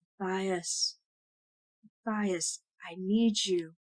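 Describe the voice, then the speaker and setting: Middle-pitched delivery in a put-on character voice. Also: female-sounding voice. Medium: read story. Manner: pleading, distant.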